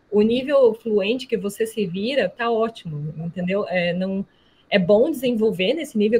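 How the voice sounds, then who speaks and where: Somewhat breathy speech at a fairly slow pace, with a strong Brazilian accent. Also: woman. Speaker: alumna, environmental professional. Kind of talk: online talk to students. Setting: video call.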